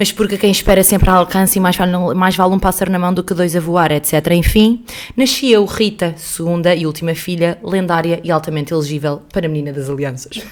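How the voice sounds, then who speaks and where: A woman at a very fast pace, her pitch fairly low with ordinary variation. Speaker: podcast co-host. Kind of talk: reading aloud; casual chat. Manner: halting.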